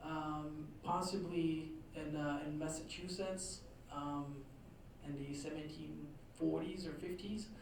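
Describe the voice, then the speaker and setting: The speaker has a Quebec accent. Noticeable background noise runs underneath. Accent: Québécois French accent in English. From Quebec, Trois-Rivières. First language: French. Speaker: author and historian. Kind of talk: lecture. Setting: talk to a live audience. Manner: hesitant, many fillers.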